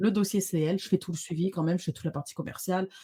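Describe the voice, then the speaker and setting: A woman speaks with a fairly low pitch and a dark, mellow tone. Her voice is somewhat breathy against a quiet background. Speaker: social media visibility trainer; guest. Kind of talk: interview conversation. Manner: fast. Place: home room. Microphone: studio mic.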